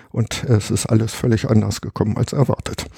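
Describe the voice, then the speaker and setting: There is noticeable background noise as a man with a fairly low pitch and ordinary pitch variation talks at a moderate pace in a dry, close sound with no echo. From Harz, Germany. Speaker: retired geologist and cave researcher. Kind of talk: casual interview. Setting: at his home.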